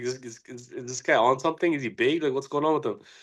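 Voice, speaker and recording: A man talks at a very fast pace with a medium pitch. The background is quiet. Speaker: podcast co-host, grappler. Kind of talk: casual chat. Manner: stuttering since concussion.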